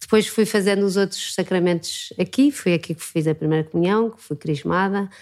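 An ordinary speaking voice from a woman, fairly low in pitch, at a moderate pace, in a very clean recording with a silent background. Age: 40s. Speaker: former journalist, church communications. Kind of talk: interview.

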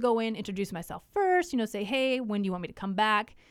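A woman's fairly high, enthusiastic voice with lively intonation at a very fast pace, on a very clean recording with a silent background. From Alaska. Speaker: MMA cut-woman. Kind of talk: casual interview.

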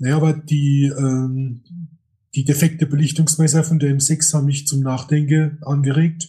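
A man's fairly high, somewhat breathy voice, dark and mellow in tone, monotone and flat, at a fairly slow pace. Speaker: camera repair technician. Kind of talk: casual interview chat.

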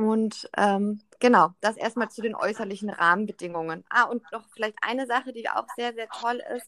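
A fairly high-pitched woman speaks at a moderate pace with ordinary pitch variation and a bright, sharp tone. The sound is dry and close, with no echo. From Berlin. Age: 20s. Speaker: social care worker. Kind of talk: interview.

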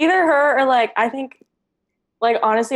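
On a very clean recording with a silent background, a woman with a Canadian accent uses an ordinary speaking voice at a moderate pace with lively intonation. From western Canada (grew up partly in Alberta, moved to Kelowna, BC around age ten). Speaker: singer-songwriter. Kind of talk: casual chat.

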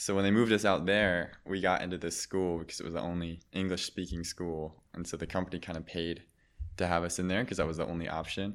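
In a very clean recording with a silent background, a man with an American accent talks at a very fast pace in a very deep, low pitch with fairly even intonation. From US Midwest (Michigan, Wisconsin). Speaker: ballet dancer. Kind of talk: casual chat.

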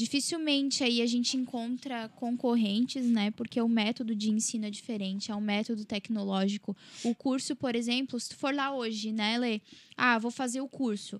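A normal speaking voice at a moderate pace with fairly even intonation, in a dry, close sound with no echo. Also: woman, fairly high pitch for a woman. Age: 20s. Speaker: robotics school sales and finance staff. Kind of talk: radio interview.

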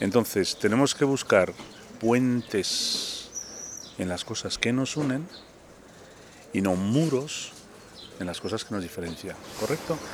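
A man's very slow speech with long, frequent pauses and lively intonation, under noticeable background noise. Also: medium pitch for a man. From Indian origin, raised in Spain. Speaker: bookseller. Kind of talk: casual interview.

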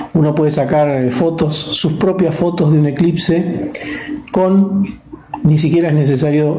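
Ordinary pitch variation at a moderate pace, amid noticeable background noise and audible room echo. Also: man. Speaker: astronomy enthusiast. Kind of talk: explanatory talk. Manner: hesitant, many fillers.

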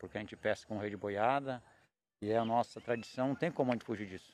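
In a quiet background, a man at a medium pitch talks very fast with fairly even intonation, yet leaves long, frequent pauses. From Brazil, São Paulo coast (Ilhabela, caiçara community). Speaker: fisherman and oar maker. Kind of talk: casual chat. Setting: outdoors.

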